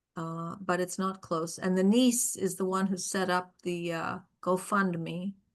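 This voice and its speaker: This woman has an American accent and a medium pitch. She talks fairly slowly with fairly even intonation. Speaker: poetry reading host. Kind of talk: casual chat. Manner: halting.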